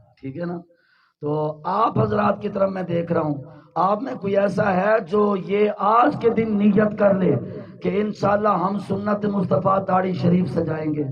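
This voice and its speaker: A man speaks at a fairly slow pace. His pitch is high, and audible room echo surrounds him. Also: ordinary pitch variation. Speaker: Islamic preacher. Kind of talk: sermon. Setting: religious gathering with audience and loudspeakers.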